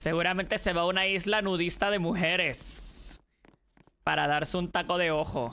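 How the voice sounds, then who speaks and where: A woman speaks at a moderate pace and fairly low pitch. Her tone is bright and sharp, with vocal fry. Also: very even loudness. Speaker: streamer. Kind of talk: gaming livestream. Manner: loud; animated. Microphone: too quiet.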